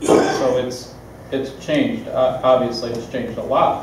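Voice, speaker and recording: Over loud background noise, a man speaks at a moderate pace with audible room echo. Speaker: city official answering council. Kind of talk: meeting explanation. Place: hall. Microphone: camera far.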